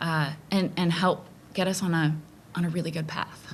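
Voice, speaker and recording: A woman's voice with fairly even intonation. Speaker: school board candidate. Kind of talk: candidate forum answer. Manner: hesitant, with fillers.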